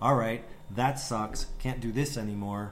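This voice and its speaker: Audible room echo surrounds this recording. A man speaks at a medium pitch with an American accent. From US Midwest, Wisconsin (West Bend). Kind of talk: casual chat.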